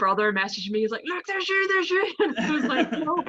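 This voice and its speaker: A woman's pitch swings very widely as noticeable background noise plays behind her. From Northern Ireland, Belfast. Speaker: professional wrestler. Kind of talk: interview.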